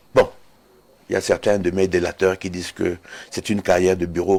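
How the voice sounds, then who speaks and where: Fairly quick speech from a man with a fairly low pitch. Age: 60s. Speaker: retired air force colonel and security analyst. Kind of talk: TV interview. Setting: TV studio.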